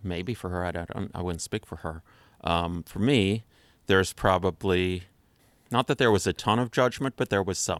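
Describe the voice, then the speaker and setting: A man with a very deep, low pitch and an American accent, at a moderate pace with ordinary pitch variation, in a very clean recording with a silent background and a dry, close sound with no echo. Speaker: guest. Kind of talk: casual conversation.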